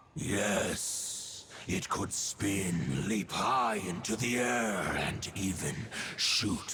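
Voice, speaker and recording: Using a put-on character voice, a man speaks at a very slow pace with a fairly low pitch and a solemn tone. Clear background noise sits behind him. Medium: video game. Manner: solemn, archaic, measured.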